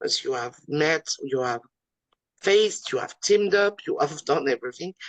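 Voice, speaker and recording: A woman with a French accent and a medium-pitched voice. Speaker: wrestling interviewer. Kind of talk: interview. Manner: halting, many fillers.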